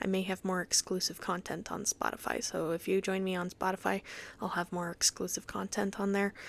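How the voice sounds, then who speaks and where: A woman at a medium pitch with fairly even intonation, on a very clean recording with a silent background. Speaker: voice actor and podcaster. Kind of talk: casual solo podcast monologue. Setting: home recording with headset mic. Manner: halting, many filler sounds.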